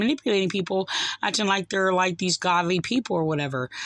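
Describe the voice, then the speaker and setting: A woman's voice comes through in a dry sound with no echo. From New Jersey, US. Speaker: online religious commentator. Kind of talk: video commentary. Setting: home recording, replaying video clips. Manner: halting, many fillers. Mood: upset, critical. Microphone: phone near.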